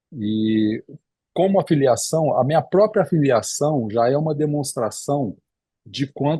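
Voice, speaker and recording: The voice has a dark, mellow tone and is somewhat breathy, with ordinary pitch variation. The background is quiet. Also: man. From Espírito Santo, Brazil. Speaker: cardiologist and lecturer. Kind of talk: lecture. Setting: video call. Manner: halting with repetitions.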